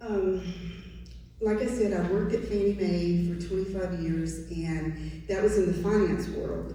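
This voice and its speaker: There is audible room echo and noticeable background noise around a woman's speech. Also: fairly slow pace. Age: 60s. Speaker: political candidate. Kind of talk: candidate forum answer.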